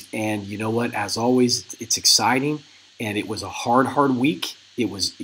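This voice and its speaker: A raspy, put-on character voice from a man, medium in pitch, at a moderate pace. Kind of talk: casual market commentary. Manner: weary but upbeat.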